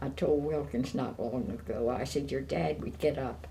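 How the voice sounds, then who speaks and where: A woman's very deep, low voice with an American accent and vocal fry, fairly slow, with audible room echo. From Maryland, USA. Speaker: retired seafood business owner. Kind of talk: oral history interview. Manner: hesitant with frequent fillers.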